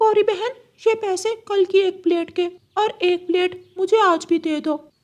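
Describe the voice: Doing a cartoonish character voice, a man speaks at a moderate pace with an extremely high pitch.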